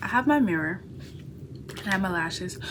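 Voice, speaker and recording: A woman's medium-pitched voice at a fairly quick pace, lively in intonation, against noticeable background noise. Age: 20s. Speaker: art student and vlogger. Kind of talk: casual vlog, get ready with me. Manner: casual, chatty; soft, whispering.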